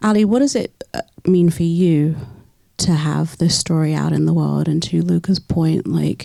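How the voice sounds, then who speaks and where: The speaker is a woman with a British accent. She keeps a moderate pace. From UK. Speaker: moderator. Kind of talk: panel discussion.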